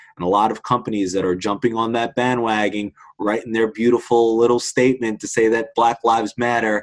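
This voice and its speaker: Fairly quick, flat, monotone delivery in a very clean recording with a silent background. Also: man. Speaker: PR professional. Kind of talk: casual conversation. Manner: halting, fillers.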